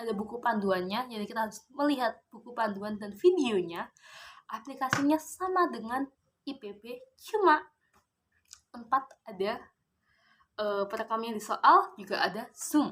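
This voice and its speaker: At a moderate pace, a woman speaks with a fairly high pitch, lively intonation and big swings in loudness. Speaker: vlogger. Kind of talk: casual vlog monologue.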